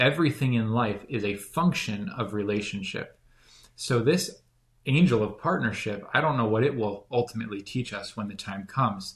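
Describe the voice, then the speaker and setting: A man talks at a moderate pace in a medium pitch with ordinary pitch variation. His voice is somewhat breathy. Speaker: spiritual teacher. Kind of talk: casual chat.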